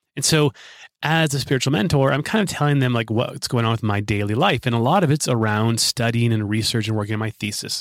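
Recorded very cleanly against a silent background, a man has a plain, everyday voice at medium pitch with ordinary pitch variation. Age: 40s. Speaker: podcast host, life coach. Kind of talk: solo monologue.

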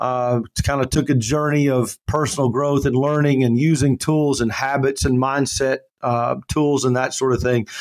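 At a moderate pace with hardly any pauses, a man speaks in a normal speaking voice at a medium pitch, his loudness very even. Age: 50s. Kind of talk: interview.

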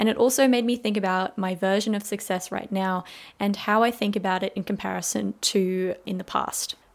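With an Australian accent, a woman speaks at a medium pitch with fairly even intonation over a very clean recording and silent background. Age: 20s. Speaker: podcast host, university student. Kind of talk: casual solo podcast monologue.

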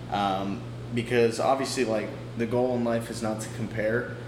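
At a moderate pace and a medium pitch, a man talks amid noticeable background noise and audible room echo. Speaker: podcast host. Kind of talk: casual chat. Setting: apartment by a window. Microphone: echo in the room.

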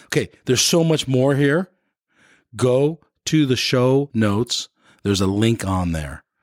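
A man speaks fairly slowly at a medium pitch, with lively intonation and long, frequent pauses. The recording is very clean and silent in the background, with a dry, close sound and no echo. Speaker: podcast host. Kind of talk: casual interview.

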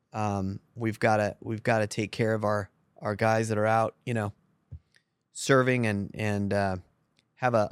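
A normal speaking voice from a man, fairly low in pitch, at a fairly slow pace, in a dry, close sound with no echo. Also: very clean recording, silent background. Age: 50s. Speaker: podcast host. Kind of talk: casual chat. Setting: on location at a farm.

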